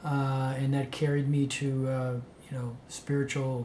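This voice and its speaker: A man's medium-pitched, monotone, flat voice with an American accent at a fairly slow pace, with audible room echo. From San Francisco, California. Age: 60s. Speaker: spiritual speaker, monk. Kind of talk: spoken self-introduction to event organizers. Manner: halting, many fillers.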